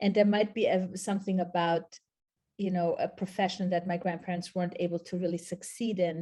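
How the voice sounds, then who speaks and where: In a German accent, a woman with a medium pitch and a dark, mellow, somewhat breathy tone speaks at a fairly quick pace with monotone, flat intonation. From Austria/Switzerland, multilingual upbringing. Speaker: documentary filmmaker and professor. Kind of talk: interview.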